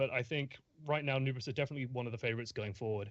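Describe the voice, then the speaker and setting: The speaker talks at a very fast pace with an English accent and ordinary pitch variation. The background is quiet. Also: man. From England. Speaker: esports caster. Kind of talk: live commentary.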